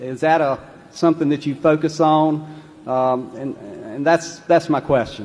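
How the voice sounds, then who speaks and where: Speaking at a fairly slow pace, a man with a fairly high pitch talks with a Southern US accent. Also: fairly even intonation. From North Carolina, US South. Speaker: shareholder asking a question. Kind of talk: audience question. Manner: halting, hesitant.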